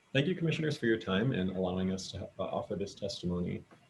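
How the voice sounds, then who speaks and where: A very fast, somewhat breathy delivery with very wide pitch swings. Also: man. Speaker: attorney testifying for a client. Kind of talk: public testimony at a government hearing. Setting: video conference. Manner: halting, many fillers and repetitions. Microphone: too quiet at first.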